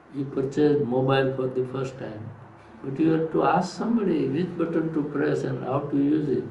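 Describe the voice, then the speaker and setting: A man's fairly high voice at a moderate pace, ordinary pitch variation, audible room echo and noticeable background noise. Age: 80s+. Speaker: yoga teacher, swami. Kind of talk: interview answers, spiritual teaching. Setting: recorded at an ashram.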